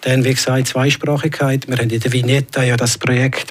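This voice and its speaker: Over noticeable background noise, a speaker with a Graubünden accent talks at a moderate pace. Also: man. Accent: Graubünden Swiss German dialect. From Switzerland, Graubünden. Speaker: local politician. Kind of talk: radio interview. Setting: studio. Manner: halting.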